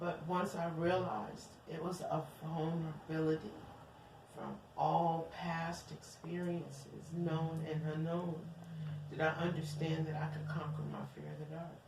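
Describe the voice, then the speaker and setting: A woman speaks in a very deep, low voice with flat, monotone intonation and long, frequent pauses, over noticeable background noise and audible room echo. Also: moderate pace. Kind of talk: casual chat. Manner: loud.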